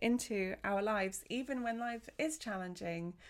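A woman with an unremarkable speaking voice speaks with lively intonation and a fairly high pitch. The recording is very clean, with a silent background. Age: 40s. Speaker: wellness podcaster and essential oils seller. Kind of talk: casual solo monologue.

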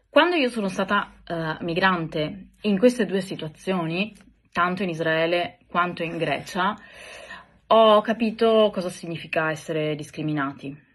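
A woman with a fairly low pitch and ordinary pitch variation, at a fairly slow pace, over a quiet background. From Italy. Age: 30s. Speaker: podcaster sharing personal experience. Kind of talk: personal testimony monologue. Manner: hesitant, many filler sounds.

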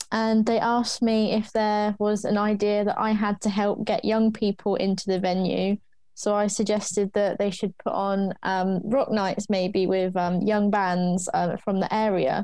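A dark, mellow, monotone voice at a fairly slow pace, with very even loudness, flat intonation and hardly any pauses. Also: woman, medium pitch for a woman. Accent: southern English. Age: 20s. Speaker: music promoter. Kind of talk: interview.

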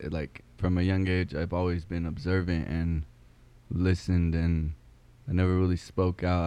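With an American accent, a man speaks in a very deep, low pitch and a dark, mellow tone. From Arizona, Yuma. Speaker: podcast host. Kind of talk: casual chat. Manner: halting.

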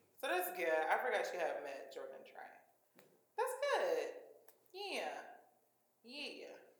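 A woman speaks in an animated tone with audible room echo around her. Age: 20s. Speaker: podcast host. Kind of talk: casual chat.

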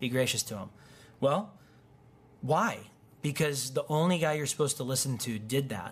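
A man with a US Midwestern accent speaks in a fairly high, somewhat breathy voice at a moderate pace. His intonation is lively, broken by long, frequent pauses. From Wheaton, Illinois, US Midwest. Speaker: pastor. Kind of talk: sermon. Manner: casual, conversational.

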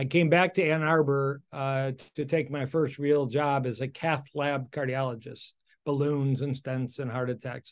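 A man uses a normal speaking voice, pitched fairly high and paced moderately. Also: quiet background. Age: 60s. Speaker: cardiologist. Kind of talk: interview.

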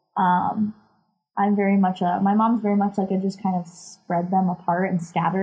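A somewhat breathy woman's voice at medium pitch and a fairly quick pace. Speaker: realtor and podcast co-host. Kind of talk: casual chat. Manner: animated.

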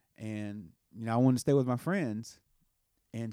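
On a very clean recording with a silent background, a man with a Southern US accent speaks fairly quickly. His medium-pitched voice has a dark, mellow tone and ordinary pitch variation. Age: 30s. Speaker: podcast host and musician. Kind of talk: casual chat.

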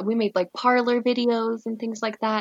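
This is a woman with a fairly high pitch and a plain, everyday voice. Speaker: former brothel worker. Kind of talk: casual chat. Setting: remote call.

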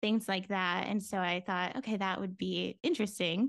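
A woman with medium pitch talks at a fairly quick pace in an American accent, against a quiet background. Hers is an ordinary speaking voice. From Florida, US. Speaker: business consultant. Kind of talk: casual interview chat.

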